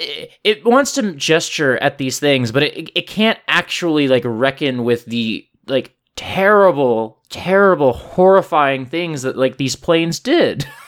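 On a very clean recording with a silent background, a man with an ordinary speaking voice talks at a fairly high pitch and fairly slow pace, his intonation lively and with hardly any pauses. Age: 30s. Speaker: podcast host. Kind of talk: casual chat.

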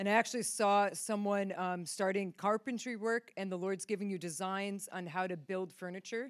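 A woman with an American accent and an unremarkable speaking voice, medium in pitch, at a moderate pace with hardly any pauses and fairly even intonation. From upstate New York. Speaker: ministry team member. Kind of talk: prophetic words. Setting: church stage with audience.

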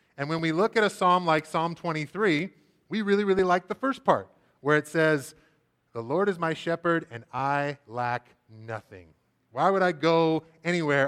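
In a dry, close recording with no echo, a man with a fairly high pitch talks at a moderate pace using lively intonation. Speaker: preaching minister. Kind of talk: sermon. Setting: church. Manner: loud.

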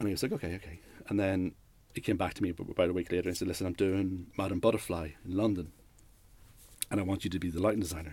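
In a Northern Irish accent, a man speaks with a very deep, low pitch. His intonation is fairly even, broken by long, frequent pauses. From Northern Ireland, Newry. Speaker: lighting and set designer. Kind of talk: interview. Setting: studio. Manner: halting.

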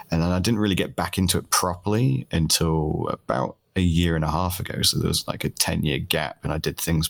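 A very deep, low-pitched man with a British accent, hardly any pauses. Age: 30s. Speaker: streamer. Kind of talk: casual chat.

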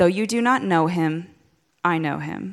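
On a very clean recording with a silent background, a woman uses a normal speaking voice at a fairly low pitch with ordinary pitch variation. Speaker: scripture reader. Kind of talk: reading scripture aloud.

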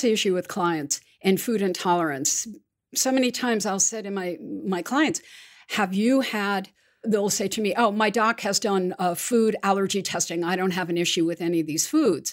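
A woman has an unremarkable speaking voice at medium pitch. She moves at a moderate pace with lively intonation. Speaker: podcast host. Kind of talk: interview, scripted intro then casual chat.

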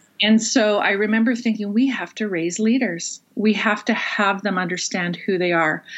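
A woman of fairly high pitch speaks in a plain, everyday voice at a moderate pace, with fairly even intonation and hardly any pauses. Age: 40s. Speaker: pastor. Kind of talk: interview. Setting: video call.

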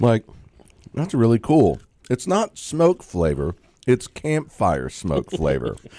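Very slowly and with long, frequent pauses, the speaker uses a dark, mellow tone with vocal fry and very wide pitch swings. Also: man, medium pitch for a man. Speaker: radio host. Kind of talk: comedic radio banter with wine tasting. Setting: radio studio. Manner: joking, laughs often.

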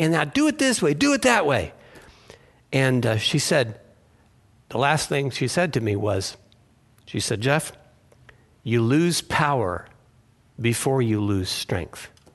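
Against a quiet background, a man speaks at a fairly slow pace, leaving long, frequent pauses. His pitch is medium and his intonation lively. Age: 60s. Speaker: pastor. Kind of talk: sermon.

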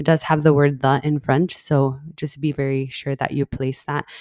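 This woman talks at a moderate pace on a very clean recording with a silent background. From El Paso, Texas. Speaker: podcast co-host, registered nurse. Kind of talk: casual chat.

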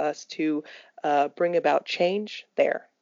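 Speaking at a fairly slow pace, a woman uses a normal speaking voice. Her pitch is medium. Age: 20s. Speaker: podcast co-host. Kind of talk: casual chat.

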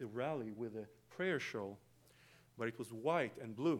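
With an Israeli accent, a man talks at a fairly quick pace, his pitch medium and its variation ordinary. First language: Hebrew. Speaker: guest preacher. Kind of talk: sermon. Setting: church.

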